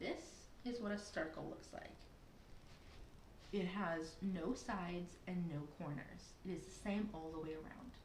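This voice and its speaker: A woman speaks at a fairly low pitch with ordinary pitch variation and a fairly slow pace. Audible room echo surrounds her voice. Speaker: preschool teacher. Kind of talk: online lesson for young children. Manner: animated.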